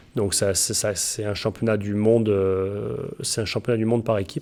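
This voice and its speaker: The man's fairly low pitch comes at a moderate pace. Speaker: motocross coach and ultra-distance cyclist. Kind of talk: interview answer. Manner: precise wording.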